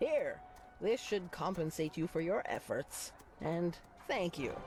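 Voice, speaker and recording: Over clear background noise, a put-on character voice speaks at a middle pitch and a fairly slow pace. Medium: video game. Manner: theatrical, exuberant.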